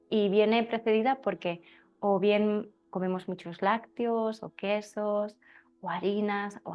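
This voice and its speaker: A woman with a Spanish accent, medium pitch and fairly even intonation. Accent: Spain Spanish. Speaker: birth preparation teacher. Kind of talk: class talk. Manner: halting.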